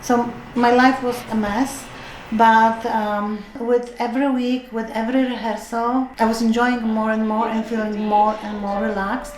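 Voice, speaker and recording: A woman at a fairly high pitch and fairly slow pace, monotone and flat, with audible room echo and noticeable background noise. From Europe. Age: 60s. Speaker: retired chemist, choir member. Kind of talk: documentary interview. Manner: hesitant, many fillers.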